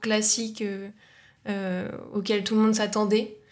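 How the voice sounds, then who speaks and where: Her voice fairly high in pitch, a woman speaks at a fairly slow pace in a monotone, flat intonation, with audible room echo. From northeastern France, near Luxembourg border. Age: 20s. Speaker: communications agency co-founder. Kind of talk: casual interview.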